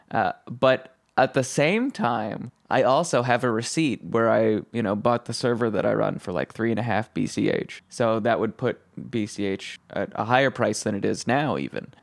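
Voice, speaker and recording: A man's voice with vocal fry, in a very clean recording against a silent background. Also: medium pitch for a man, ordinary pitch variation, moderate pace. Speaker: podcast producer and co-host. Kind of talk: casual conversation.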